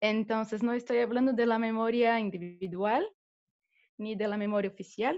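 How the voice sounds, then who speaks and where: A woman speaks with a Brazilian accent and a fairly high pitch. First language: Portuguese (speaking Spanish). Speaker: theatre director and teacher. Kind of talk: talk in a video interview. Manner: halting.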